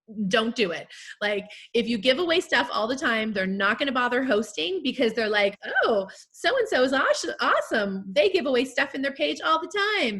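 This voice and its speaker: A loud, high-pitched woman's voice with very wide pitch swings, over noticeable background noise. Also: moderate pace. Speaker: direct sales team leader. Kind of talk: panel Q&A chat. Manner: casual, filler-heavy.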